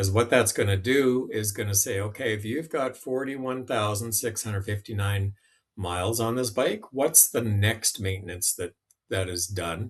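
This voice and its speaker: Against a quiet background, a man with a fairly low pitch speaks at a moderate pace, somewhat breathy, with ordinary pitch variation. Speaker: app demonstrator. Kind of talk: tutorial. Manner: casual, with fillers.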